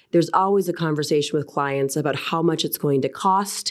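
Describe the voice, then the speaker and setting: A woman with an American accent has a normal speaking voice, pitched fairly low, with fairly even intonation. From US, Texas and Washington DC early career. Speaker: arbitration lawyer. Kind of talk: professional interview.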